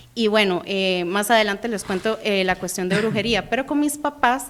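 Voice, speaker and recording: The speaker is a woman. She talks with a Costa Rican accent. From Costa Rica, San José. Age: 20s. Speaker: guest giving testimony. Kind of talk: testimony. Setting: radio studio.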